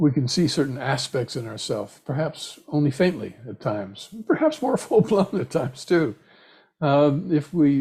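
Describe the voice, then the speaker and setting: Somewhat breathy and fairly high, a man's voice moves at a moderate pace with lively intonation. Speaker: meditation teacher. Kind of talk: dharma talk.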